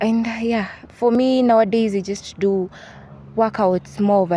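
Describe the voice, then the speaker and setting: At a moderate pace, a woman with a Kenyan accent speaks with fairly even intonation. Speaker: university student. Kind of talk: interview. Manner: halting.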